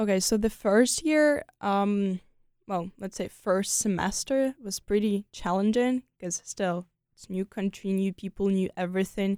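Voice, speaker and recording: A woman with a Ukrainian accent speaks at a fairly slow pace in a dark, mellow tone. Her pitch is medium with ordinary variation, and the very clean recording sounds dry and close, with no echo and a silent background. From Ukraine, Kyiv. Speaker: exchange student. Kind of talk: interview conversation. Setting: studio.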